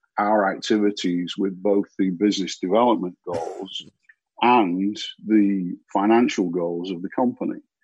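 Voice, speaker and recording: This man has a British accent and a fairly low pitch. He keeps a moderate pace with fairly even intonation. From UK. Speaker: marketing agency founder. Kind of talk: interview.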